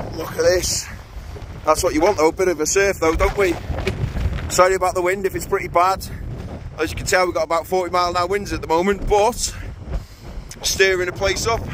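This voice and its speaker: Fairly even intonation and a fairly quick pace come through noticeable background noise. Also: man, high pitch for a man, dry sound with no echo. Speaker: angler vlogger. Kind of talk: casual vlog chat. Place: waterside. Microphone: phone near.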